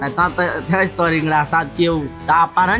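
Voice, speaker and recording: A man's fairly high voice at a fairly quick pace, with clear music in the background. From Minas Gerais, Brazil. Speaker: bull rider. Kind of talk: interview answer. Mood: relaxed, smiling storytelling. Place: open country.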